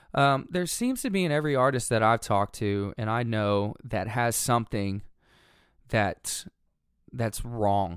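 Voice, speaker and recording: The man has a plain, everyday voice at medium pitch, with ordinary pitch variation. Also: fairly slow pace, very clean recording, silent background. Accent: American. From Texas, Dallas-Fort Worth area. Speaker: musician. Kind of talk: casual chat.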